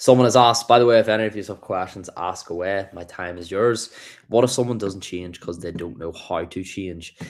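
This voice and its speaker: A man's fairly low voice in a Northern Irish accent, fairly quick in pace, with ordinary pitch variation and big swings in loudness, on a very clean recording with a silent background. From Ireland, between Dublin and Belfast. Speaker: livestreamer, self-improvement creator. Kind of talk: livestream chat, motivational talk. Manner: casual, animated.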